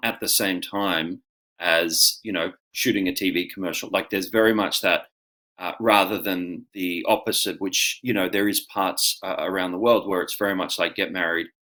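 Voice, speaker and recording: An Australian-accented man's fairly low voice, bright and sharp in tone, with fairly even intonation. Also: moderate pace. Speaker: actor and auctioneer. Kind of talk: interview answer. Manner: casual, conversational.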